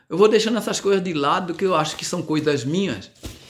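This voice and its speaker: A man's high voice with lively intonation, on a very clean recording with a silent background. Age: 60s. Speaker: evangelical preacher and community radio host. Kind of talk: preaching monologue. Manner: hesitant, many fillers and repetitions.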